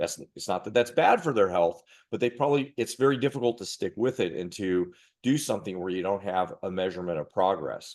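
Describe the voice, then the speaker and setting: Against a quiet background, a man with an ordinary speaking voice and a fairly low pitch talks at a fairly quick pace with lively intonation. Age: 50s. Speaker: martial arts master instructor. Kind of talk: casual chat.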